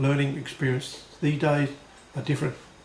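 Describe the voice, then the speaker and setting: A man with an Australian accent talks at a fairly quick pace. Noticeable background noise and audible room echo fill the recording. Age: 60s. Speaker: blues harmonica player and video blogger. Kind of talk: video blog monologue read from prompt sheets. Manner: read from notes.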